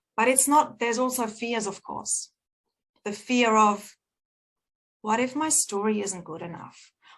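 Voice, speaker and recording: A woman's fairly high voice in an American accent, fairly slow, with long, frequent pauses and big swings in loudness. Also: ordinary pitch variation. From Germany. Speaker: book publisher and speaker. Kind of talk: motivational talk.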